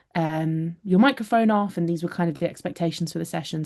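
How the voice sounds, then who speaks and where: Over a quiet background, a woman talks at a very fast pace in a dark, mellow tone. Her pitch is fairly low, with ordinary variation. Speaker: singing tutor. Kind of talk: online workshop presentation.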